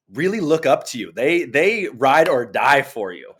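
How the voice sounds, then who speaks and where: A man talks at a fairly high pitch with vocal fry. His pitch swings very widely. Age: 30s. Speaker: podcast host. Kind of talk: casual chat.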